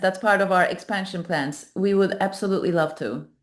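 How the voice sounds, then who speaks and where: A woman with a Turkish accent, at a moderate pace and with fairly even intonation. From Turkey. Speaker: AI startup founder. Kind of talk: panel presentation. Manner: halting, many fillers.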